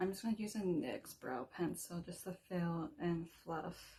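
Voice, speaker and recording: Somewhat breathy, a woman's voice has a dark, mellow tone and a fairly low pitch. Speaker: beauty vlogger. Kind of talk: makeup tutorial. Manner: casual.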